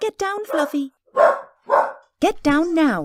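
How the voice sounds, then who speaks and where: This is a put-on character voice that sounds female. Its pitch is extremely high. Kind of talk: radio drama performance.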